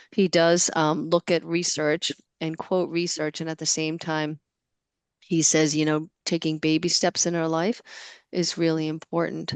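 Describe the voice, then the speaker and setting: With a Boston accent, a woman speaks at a fairly slow pace in a monotone, flat delivery and a fairly low pitch, the sound dry and close with no echo against a quiet background. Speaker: webinar moderator. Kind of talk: webinar discussion.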